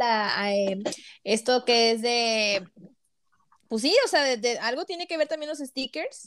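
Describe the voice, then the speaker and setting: The speaker moves at a fairly slow pace. Pitch variation is ordinary. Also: woman. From Mexico, Tampico, Tamaulipas. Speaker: podcast host. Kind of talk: casual interview.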